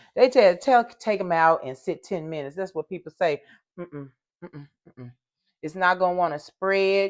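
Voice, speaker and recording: Her voice sits at a fairly low pitch, and the woman speaks with ordinary pitch variation. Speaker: lifestyle vlogger. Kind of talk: casual vlog, cooking. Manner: loud; animated.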